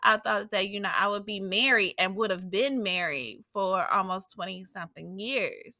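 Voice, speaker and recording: In a very clean recording with a silent background, a woman speaks at a fairly slow pace. Her medium-pitched voice has a bright, sharp tone. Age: 40s. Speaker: life coach. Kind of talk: podcast monologue.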